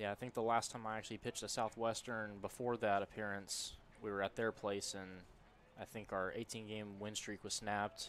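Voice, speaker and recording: Light background noise sits under a man's fairly low, flat, monotone voice, which moves at a fairly quick pace in a dry sound with no echo. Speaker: color commentator. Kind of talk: baseball color commentary and analysis. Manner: conversational, analytical. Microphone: headset.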